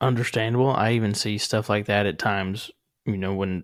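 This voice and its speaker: On a very clean recording with a silent background, a man with a Southern accent speaks at a moderate pace in a fairly low, monotone, flat voice. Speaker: podcast host. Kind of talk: podcast interview.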